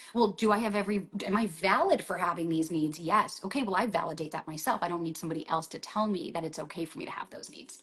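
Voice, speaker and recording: A woman talks at a very fast pace with hardly any pauses, her medium pitch showing ordinary variation. Noticeable background noise runs underneath. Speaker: dating coach. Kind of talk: casual chat. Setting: livestream video call.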